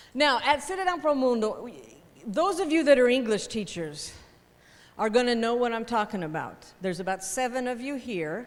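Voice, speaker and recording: A woman's high, animated voice with an American accent, very wide pitch swings and a moderate pace. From United States. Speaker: teacher trainer. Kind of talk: workshop lecture.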